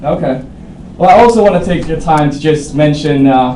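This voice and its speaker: A man with a fairly high pitch talks at a moderate pace. Noticeable background noise and audible room echo fill the recording. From Sweden (south Stockholm). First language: Swedish. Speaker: sales rep in role-play. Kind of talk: sales pitch role-play. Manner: halting, many fillers.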